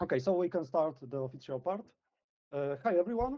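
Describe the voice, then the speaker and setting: With a Polish accent, a man talks at a moderate pace using lively intonation. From Poland. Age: 20s. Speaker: community manager. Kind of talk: livestream presentation. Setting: livestream. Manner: hesitant, many fillers.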